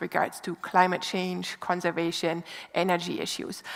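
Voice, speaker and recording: A woman talks at a moderate pace with a German accent. There is noticeable background noise. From Germany, small mining town. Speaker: environmental institute director, speaker. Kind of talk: public lecture. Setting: lecture stage with audience.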